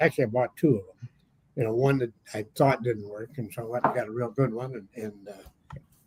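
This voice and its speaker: A man sounds somewhat breathy. The sound is dry and close, with no echo. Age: 80s+. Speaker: metal detectorist. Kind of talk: casual chat. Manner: halting.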